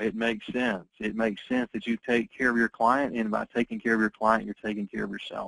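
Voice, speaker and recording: At a fairly quick pace, a man talks with a medium pitch. The sound is dry and close, with no echo. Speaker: insurance sales trainer. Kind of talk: training presentation. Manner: fast.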